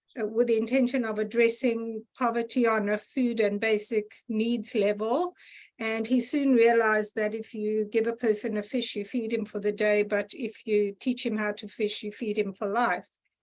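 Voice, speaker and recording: A woman with a South African accent speaks at a fairly high pitch in a monotone, flat intonation. The background is quiet. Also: moderate pace. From South Africa, Gauteng. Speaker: audience member. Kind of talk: casual chat.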